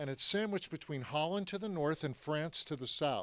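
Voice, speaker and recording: A bright, sharp tone moves at a fairly quick pace on a very clean recording with a silent background. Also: man. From US, Philadelphia. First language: French. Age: 70s. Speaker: Holocaust history speaker. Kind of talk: talk to audience. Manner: animated.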